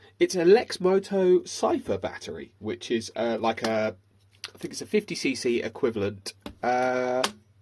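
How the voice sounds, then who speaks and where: A man with a British accent, at a fairly slow pace. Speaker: e-bike repair technician. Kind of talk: casual repair tutorial. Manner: hesitant, many fillers.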